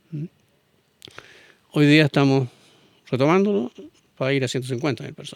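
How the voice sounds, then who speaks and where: The sound is dry and close with no echo. A man speaks at a fairly quick pace with a Chilean accent. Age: 70s. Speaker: business executive. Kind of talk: interview.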